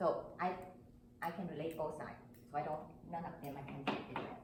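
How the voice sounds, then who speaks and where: A woman with a non-native accent speaks at a moderate pace with ordinary pitch variation, amid noticeable background noise and audible room echo. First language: not English. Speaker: club member panelist. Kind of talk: panel discussion.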